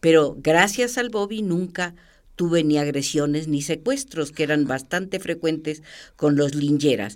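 Over a silent background in a very clean recording, a woman with a very deep, low pitch talks at a fairly slow pace with lively intonation. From Argentina, Entre Ríos. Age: 80s+. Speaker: art critic and journalist. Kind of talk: interview.

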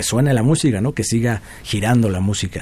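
An unremarkable speaking voice from a man at medium pitch, moderate pace and fairly even intonation. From Mexico, Puebla. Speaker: guitarist. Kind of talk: interview.

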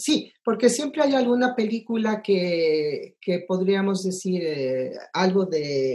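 A woman speaks at a very slow pace. Her medium-pitched voice carries lively intonation. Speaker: film composer. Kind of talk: interview. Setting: video call.

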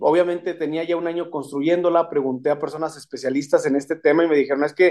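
A man speaks very fast in a fairly high pitch with a dark, mellow tone. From Mexico, Saltillo, Coahuila. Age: 30s. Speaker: electoral court judge. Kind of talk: radio interview.

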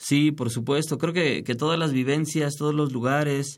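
This man speaks at a moderate pace in a medium pitch. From Mexico City. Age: 40s. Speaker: singer-songwriter. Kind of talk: radio interview. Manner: halting.

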